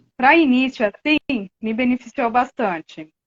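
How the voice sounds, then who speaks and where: The woman talks at a fairly slow pace. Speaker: hypnotherapy student, therapist. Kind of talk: live-stream conversation.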